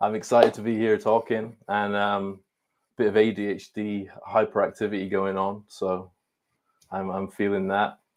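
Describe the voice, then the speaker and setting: In a very clean recording over a silent background, a man with a fairly low voice talks at a moderate pace in a flat, monotone delivery. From east coast of Scotland. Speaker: ADHD coach. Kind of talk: interview.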